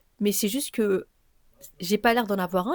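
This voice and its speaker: A woman talks at a fairly quick pace with ordinary pitch variation, recorded very cleanly against a silent background. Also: dry, close sound with no echo. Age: 20s. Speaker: podcaster. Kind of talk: solo personal podcast monologue. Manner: fast, many fillers.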